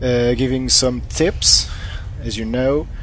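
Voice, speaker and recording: A man speaks at a very slow pace, with noticeable background noise and audible room echo. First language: not English. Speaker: gaming YouTuber. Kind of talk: gameplay commentary. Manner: halting, many fillers; not very loud.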